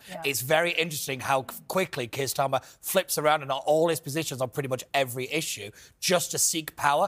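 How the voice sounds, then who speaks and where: A very fast delivery in a northern English accent, with hardly any pauses. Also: man, fairly high pitch for a man, ordinary pitch variation. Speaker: panelist. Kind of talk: comedy quiz banter.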